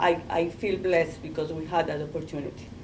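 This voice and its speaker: The woman's voice sits at a fairly low pitch with fairly even intonation. Audible room echo surrounds her. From Colombia. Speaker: artist. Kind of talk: panel discussion.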